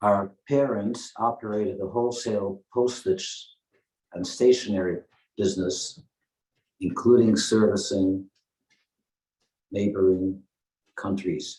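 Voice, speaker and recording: A man's dark, mellow voice sits at a fairly low pitch with fairly even intonation. He moves at a fairly slow pace with long, frequent pauses. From Netherlands, The Hague area. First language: Dutch. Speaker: Holocaust survivor speaker. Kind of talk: testimony. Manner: halting.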